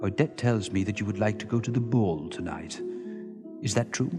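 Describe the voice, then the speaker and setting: With clear music in the background, a man in a put-on character voice talks at a moderate pace and a fairly low pitch. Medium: audio drama. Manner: cold, contemptuous.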